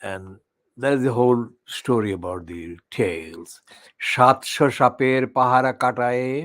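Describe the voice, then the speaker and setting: Speaking very slowly with a Bangladeshi accent, a man takes long, frequent pauses, his loudness swinging widely while his medium pitch shows ordinary variation. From Sylhet region, Bangladesh. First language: Sylheti. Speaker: online channel presenter. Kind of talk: poetry reading with commentary. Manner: halting.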